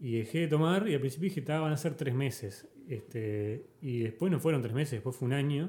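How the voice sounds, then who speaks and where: Somewhat breathy and dark, mellow in tone, a man's fairly high voice moves at a fairly quick pace with hardly any pauses. His pitch varies in an ordinary way. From Uruguay, Montevideo. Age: 30s. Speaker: podcast host. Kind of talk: casual chat.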